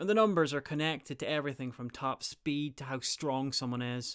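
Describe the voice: The voice has a fairly bright tone that is clear and smooth. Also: man.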